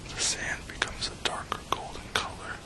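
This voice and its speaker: Someone whispers in a soothing tone at a fairly slow pace, with noticeable background noise. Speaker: ASMR whisperer. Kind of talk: relaxation guided imagery / hypnosis-style script. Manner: whispered, slow, soothing.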